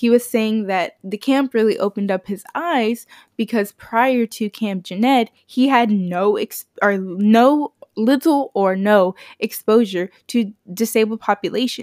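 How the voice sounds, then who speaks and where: In a very clean recording with a silent background and a dry, close sound with no echo, a woman speaks fairly slowly in an ordinary speaking voice. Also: fairly high pitch for a woman, ordinary pitch variation. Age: 20s. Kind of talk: casual monologue. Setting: home recording in bedroom.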